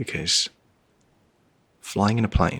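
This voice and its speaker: Soft-spoken and calm, a man talks in a bright, sharp tone. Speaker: travel show host. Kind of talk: ASMR reading. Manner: calm, soft-spoken.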